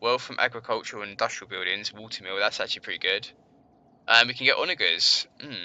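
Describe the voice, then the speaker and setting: A man speaks in a London accent. His pace is very fast. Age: 20s. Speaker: gaming streamer. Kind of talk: live gameplay commentary. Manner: casual, thinking aloud.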